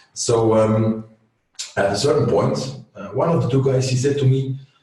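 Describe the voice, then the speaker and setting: A man talks at a moderate pace with a Flemish accent. His pitch sits in the medium range. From Flanders, Belgium. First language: Dutch (Flemish). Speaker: agency owner. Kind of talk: interview. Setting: video call webinar. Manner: halting, searching for words.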